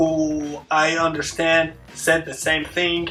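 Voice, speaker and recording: Music plays in the background. A man speaks fairly slowly in a fairly high pitch. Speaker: YouTuber, hip hop commentator. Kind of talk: solo video essay, media analysis. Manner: halting, many fillers and restarts.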